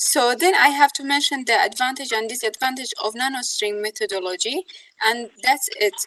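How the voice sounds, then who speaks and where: In a raised, projected voice, a woman speaks high-pitched with very wide pitch swings. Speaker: university student. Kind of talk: classroom question. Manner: fast; halting.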